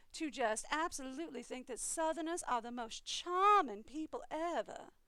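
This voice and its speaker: Raising and projecting her voice, a woman speaks at a moderate pace in a bright, sharp tone, high-pitched with very wide pitch swings. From eastern US, raised in Maryland. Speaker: gaming streamer. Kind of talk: casual chat.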